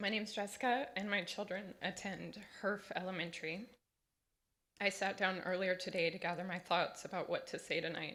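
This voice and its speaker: A woman with a medium pitch and a bright, sharp tone talks at a fairly quick pace. Her voice is shaky and nervous in tone, with fairly even intonation. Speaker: parent speaking at public comment. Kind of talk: public comment testimony. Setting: school board meeting. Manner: shaky, nervous delivery.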